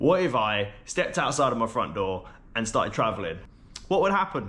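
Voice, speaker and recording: With an English accent, the speaker moves at a fairly quick pace, pitch swinging very widely while loudness stays very even. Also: man, medium pitch for a man. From London, England. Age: 20s. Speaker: travel vlogger. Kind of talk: casual vlog chat to camera. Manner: casual, conversational with fillers.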